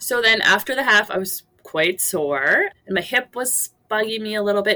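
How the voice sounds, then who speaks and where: A normal speaking voice from a woman, fairly high in pitch, with ordinary pitch variation at a moderate pace. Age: 40s. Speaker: phys ed teacher and amateur marathon runner. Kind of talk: interview storytelling.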